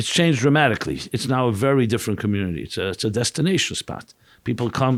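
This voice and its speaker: A man at a medium pitch, very fast pace and lively intonation, on a very clean recording with a silent background. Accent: New York. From New York, Brooklyn (Crown Heights). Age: 60s. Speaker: rabbi and author. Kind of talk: podcast interview.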